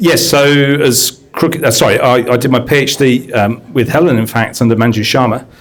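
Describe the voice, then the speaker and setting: With an English accent, a man speaks at a medium pitch and with fairly even intonation. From UK. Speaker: science education consultant and teacher. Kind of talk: panel discussion introduction.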